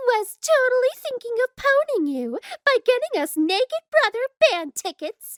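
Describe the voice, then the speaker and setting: A woman's squeaky, put-on character voice at an extremely high pitch and moderate pace, with a dry, close sound and no echo. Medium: comedy sketch. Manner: excited, bubbly.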